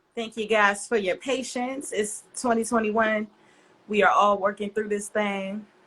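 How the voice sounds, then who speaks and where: Using a plain, everyday voice, a woman speaks at a fairly slow pace in a fairly high pitch with fairly even intonation. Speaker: interviewer / host. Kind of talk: live stream interview hosting.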